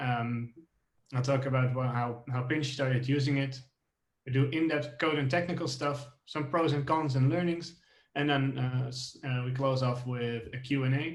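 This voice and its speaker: A man's somewhat breathy voice, medium in pitch, monotone and flat, at a moderate pace. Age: 20s. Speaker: software engineer. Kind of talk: tech talk. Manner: halting, many fillers.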